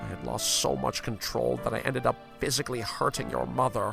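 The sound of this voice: Over faint background music, a put-on character voice with vocal fry and a bright, sharp tone speaks slowly with ordinary pitch variation. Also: man.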